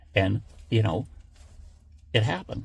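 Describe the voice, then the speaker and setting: Vocal fry creeps into this man's fairly low voice. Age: 70s. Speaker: political commentator YouTuber. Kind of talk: casual political monologue. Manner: halting, many fillers.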